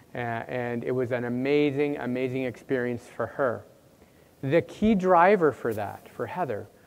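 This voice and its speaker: Lively intonation runs through this voice with a Canadian accent. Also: man, medium pitch for a man. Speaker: university administrator, workshop presenter. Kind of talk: conference workshop talk. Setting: conference room with audience. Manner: fast; loud.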